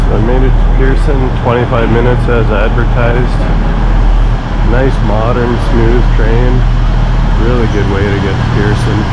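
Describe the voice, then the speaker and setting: Moderate pace with long, frequent pauses over loud background noise. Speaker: travel vlogger. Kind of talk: casual vlog chat. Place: station. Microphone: phone near.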